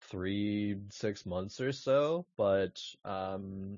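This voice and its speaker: A man is speaking. His pitch is fairly low. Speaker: esports caster. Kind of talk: interview. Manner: monotone; halting.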